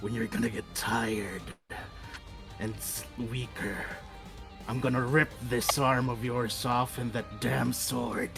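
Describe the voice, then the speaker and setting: A man's gravelly, put-on character voice at medium pitch and a fairly slow pace, with clear music in the background. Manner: menacing.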